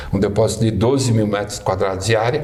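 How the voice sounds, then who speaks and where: A man with a medium pitch and ordinary pitch variation talks in a room with audible echo and noticeable background noise. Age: 60s. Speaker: administrator, alumnus guest. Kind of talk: podcast interview, casual chat. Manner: halting, repeats words.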